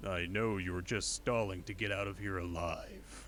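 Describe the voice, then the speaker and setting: Using a put-on character voice, a man speaks at a very deep, low pitch and a moderate pace, with clear background noise behind him. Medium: voice reel. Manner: flat, blunt.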